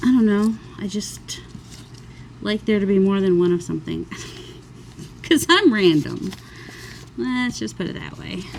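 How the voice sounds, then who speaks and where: A woman speaks at a moderate pace with long, frequent pauses over noticeable background noise. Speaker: crafting YouTuber. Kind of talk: crafting tutorial. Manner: casual, rambling.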